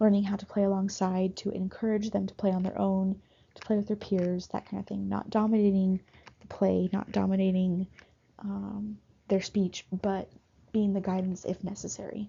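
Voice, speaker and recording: A woman speaks at a moderate pace in a medium pitch, somewhat breathy. Her intonation is monotone and flat. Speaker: university student intern. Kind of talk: class presentation. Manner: halting, with stuttering; many filler ums.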